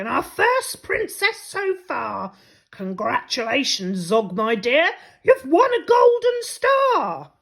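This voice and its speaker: Putting on a character voice, a woman speaks extremely high and very slowly. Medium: read story. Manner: commanding.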